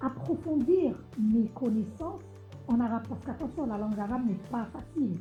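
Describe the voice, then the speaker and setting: A woman with a fairly high voice speaks at a moderate pace, her pitch swinging very widely, with long, frequent pauses and music playing behind her. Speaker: singer of Arabo-Andalusian music. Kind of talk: interview answer.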